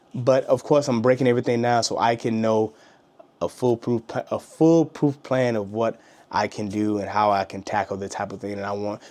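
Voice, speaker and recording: Medium pitch for a man, with ordinary pitch variation, from a male speaker. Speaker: YouTube content creator. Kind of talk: casual vlog talk to camera. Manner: fast; halting, many fillers and restarts.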